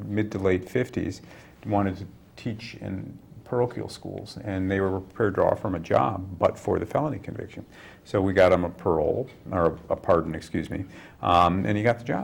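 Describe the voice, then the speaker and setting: A man with an unremarkable speaking voice, moderate in pace, fairly low in pitch, ordinary in pitch variation. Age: 50s. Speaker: defense attorney and commentator. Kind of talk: casual interview chat.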